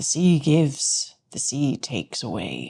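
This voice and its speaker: A put-on character voice speaks at a low-to-middle pitch and a fairly slow pace. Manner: grave.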